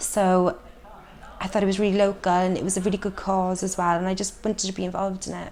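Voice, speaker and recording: Her intonation monotone and flat, a woman at medium pitch talks at a very fast pace. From south Wales, Llanelli area. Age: 20s. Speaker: community theatre participant. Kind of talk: documentary interview.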